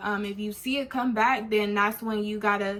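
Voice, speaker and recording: With an American accent, a woman speaks at a moderate pace. Hers is a plain, everyday voice. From California. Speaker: beauty vlogger. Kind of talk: product review vlog. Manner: casual, filler-heavy.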